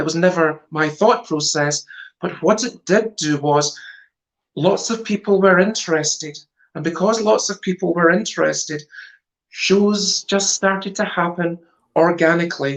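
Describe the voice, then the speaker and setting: A woman speaks in a fairly low pitch with a Scottish accent. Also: ordinary pitch variation, moderate pace. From Scotland, Glasgow area. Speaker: stage psychic performer. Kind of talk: interview.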